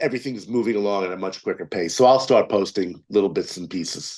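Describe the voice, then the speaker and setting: This man talks at a fairly quick pace. His pitch variation is ordinary. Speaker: film producer and writer. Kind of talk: interview. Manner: fast.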